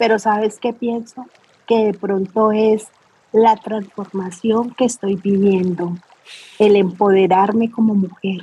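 A woman's somewhat breathy, dark, mellow voice at a medium pitch, very slow and with monotone, flat intonation. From Colombia, Cali. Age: 40s. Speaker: army reserve officer and beauty pageant contestant. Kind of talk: interview conversation.

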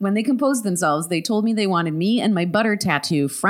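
The recording captures an unforced reading voice.

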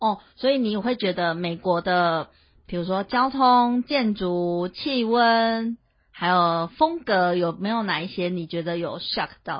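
Intonation stays lively even at a very slow pace. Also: woman, medium pitch for a woman. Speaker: podcast co-host. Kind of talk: casual chat.

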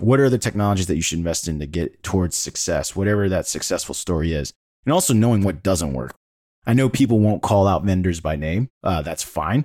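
A man with a very deep, low, dark and mellow voice speaks fairly quickly with lively intonation in a very clean recording with a silent background. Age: 40s. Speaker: tech podcast host and sales executive. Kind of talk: casual chat. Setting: podcast recording.

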